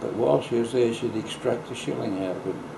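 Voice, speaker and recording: Over noticeable background noise, a man with an Australian accent speaks at a fairly low pitch with ordinary pitch variation. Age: 80s+. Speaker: local historian. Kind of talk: interview answer. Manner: slow, hesitant.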